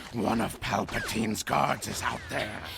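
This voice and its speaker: Clear background noise runs under a man talking at a moderate pace. He uses a put-on character voice. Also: medium pitch for a man. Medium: audio drama.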